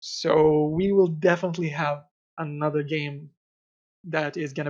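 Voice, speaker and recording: Speaking at a moderate pace with a non-native accent, a man with a fairly high pitch keeps his intonation flat and monotone. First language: not English. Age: 20s. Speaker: game designer. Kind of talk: interview. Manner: halting.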